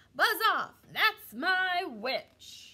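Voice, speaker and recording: A put-on character voice, growling, shrill and croaky, at an extremely high pitch. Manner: menacing, defiant.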